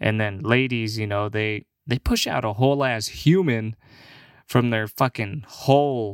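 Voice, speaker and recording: The recording is very clean and dry, with a close sound, no echo and a silent background. A man with an unremarkable speaking voice talks fairly slowly at medium pitch with ordinary pitch variation. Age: 20s. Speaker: podcast host and aspiring comedian. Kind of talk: casual solo monologue. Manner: laughing often, relaxed, filler-heavy.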